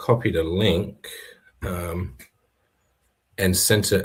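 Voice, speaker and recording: A somewhat breathy man's voice, fairly low in pitch, at a very slow pace with ordinary pitch variation. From Bunbury, Western Australia. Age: 30s. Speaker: fisherman and activist. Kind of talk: podcast interview.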